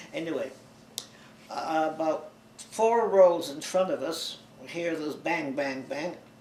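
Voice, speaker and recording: A man with a fairly high pitch speaks with fairly even intonation. Audible room echo and noticeable background noise are present. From Bulgaria (Sofia), then Toronto from age ten. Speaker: oral history interviewee. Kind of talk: oral history interview.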